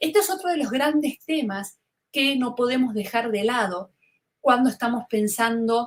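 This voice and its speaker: A woman speaks in a Rioplatense accent at a fairly high pitch and a moderate pace. Her pitch swings very widely. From Argentina, Buenos Aires (Río de la Plata). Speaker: fashion communication lecturer. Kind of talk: webinar lecture. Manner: conversational, with filler words (este, eh).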